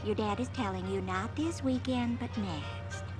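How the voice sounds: A cartoonish character voice at a moderate pace, with loud music in the background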